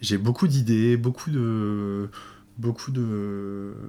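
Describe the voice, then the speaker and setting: Dark, mellow tone from a man pitched somewhat low, his intonation fairly level. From Paris suburbs, France. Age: 20s. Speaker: influencer and entrepreneur. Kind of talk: casual interview. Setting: at his Paris apartment. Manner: hesitant, many fillers.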